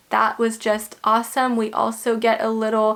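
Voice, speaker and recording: Speaking at a fairly high pitch, a woman is heard over distinct background noise. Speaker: movie reviewer. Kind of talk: video review monologue.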